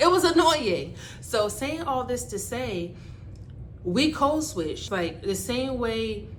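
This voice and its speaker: Against noticeable background noise, a woman talks in an American accent. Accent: mostly American. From Barbados. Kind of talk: casual talk to camera.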